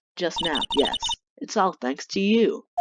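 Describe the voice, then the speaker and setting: In a put-on character voice, a man speaks at a fairly slow pace and a high pitch. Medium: game stream.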